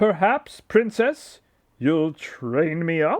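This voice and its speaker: Putting on a character voice, a man speaks very slowly at a high pitch with lively intonation, the sound dry and close with no echo. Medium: read story.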